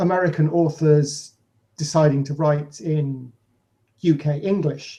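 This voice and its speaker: A man's somewhat breathy, dark, mellow voice with a British accent, fairly high pitch, fairly even intonation and a fairly slow pace. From Britain. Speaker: podcast co-host, author. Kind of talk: casual chat.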